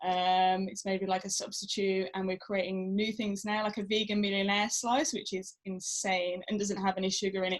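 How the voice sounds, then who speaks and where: At a moderate pace, a woman talks in a medium pitch. Her intonation is monotone and flat. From Birmingham, English Midlands. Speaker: rugby player and food business owner. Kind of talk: interview. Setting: video podcast. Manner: hesitant, many fillers.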